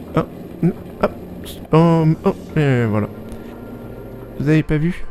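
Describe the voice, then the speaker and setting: Noticeable background noise sits behind a man's speech. His intonation is lively, broken by long, frequent pauses. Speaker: private pilot. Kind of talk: voice-over narration. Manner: slightly stiff, charming.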